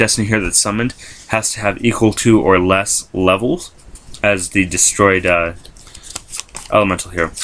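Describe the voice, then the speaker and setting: A fairly low-pitched man with fairly even intonation, amid noticeable background noise. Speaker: YouTuber showing a card game deck. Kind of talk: deck profile video, casual explanation. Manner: fast; hesitant with many fillers.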